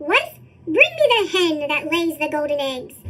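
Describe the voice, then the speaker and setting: In a squeaky put-on character voice, a woman speaks with an extremely high pitch. Her tempo is medium. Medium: read story. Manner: loud, threatening.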